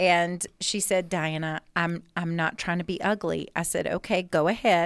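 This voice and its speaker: A woman with an unremarkable speaking voice talks at a fairly slow pace, in fairly low pitch and with fairly even intonation. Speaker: fundraising event specialist. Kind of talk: casual podcast chat.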